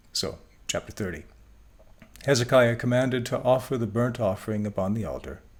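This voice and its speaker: A man with vocal fry and medium pitch talks at a fairly quick pace. He leaves long, frequent pauses. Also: ordinary pitch variation. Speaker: Bible teacher. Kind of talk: lecture.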